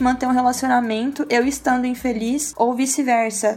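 A woman speaks at a moderate pace in a high voice with fairly even intonation. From Brazil, Campinas. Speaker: church worship singer. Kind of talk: casual chat.

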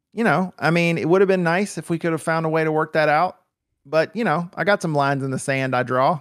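In a very clean recording with a silent background and dry, close sound with no echo, a man with an ordinary speaking voice talks at a fairly quick pace in a fairly high pitch with ordinary pitch variation. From US South (rural Deep South). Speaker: podcaster. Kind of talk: casual chat.

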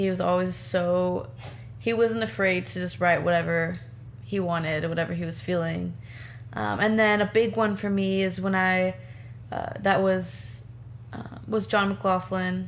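Somewhat breathy, a woman speaks with a Californian accent at a fairly low pitch and a fairly slow pace. Her pitch swings very widely, and audible room echo is present. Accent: Californian American. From Southern California, Temecula. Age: 20s. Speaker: singer-songwriter. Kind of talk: interview.

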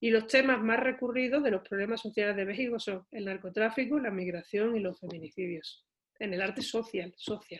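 Woman with a normal speaking voice, fairly high pitch, ordinary pitch variation and a moderate pace. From Seville, southern Spain. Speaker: visual artist and university lecturer. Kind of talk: interview.

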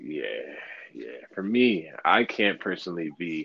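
A man speaks in an American accent. His pace is fairly slow. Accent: sometimes taken for Californian. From Brooklyn, New York. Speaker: rapper. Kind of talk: casual interview. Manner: nonchalant, laid-back.

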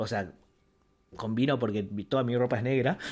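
The speaker is a man talking at a moderate pace. His pitch varies in an ordinary way. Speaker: podcast co-host. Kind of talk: casual chat. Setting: live stream.

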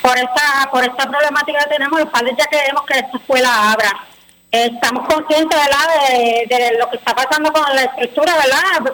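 Over noticeable background noise, a woman speaks fairly quickly in a high, raised, projected voice. Her intonation stays fairly even and her loudness very even. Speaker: parents' group spokesperson. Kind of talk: radio interview.

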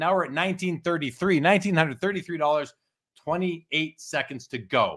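Recorded very cleanly against a silent background, a man with a high pitch talks at a fairly quick pace with ordinary pitch variation. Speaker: livestream host. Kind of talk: live auction call, reading out bids and countdowns. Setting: livestream. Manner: halting, self-correcting restarts.

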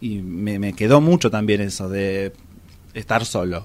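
Fairly slow delivery from a male speaker, ordinary in its pitch variation. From Argentina, Luján (Buenos Aires province). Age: 30s. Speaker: interviewee sharing personal story. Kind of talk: testimony. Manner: halting.

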